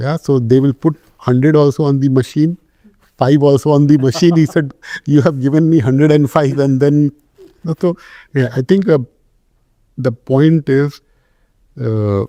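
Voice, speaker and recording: A man's fairly high voice, dark and mellow in tone, with fairly even intonation, long, frequent pauses, and a dry, close sound with no echo. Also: moderate pace. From India, Jamshedpur (eastern India). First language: Hindi or other Indian language. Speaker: telecom company CEO. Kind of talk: interview.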